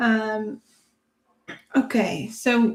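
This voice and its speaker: A woman's somewhat breathy, dark, mellow voice, fairly high in pitch, with a non-native accent. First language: not English. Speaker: theta healing instructor and psychic. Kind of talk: self-guided healing demonstration. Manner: reflective, thinking aloud.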